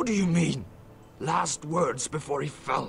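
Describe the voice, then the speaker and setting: In a raspy, put-on character voice at a middle pitch, the speaker goes at a fairly slow pace against clear background noise. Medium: video game. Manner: cold, scornful.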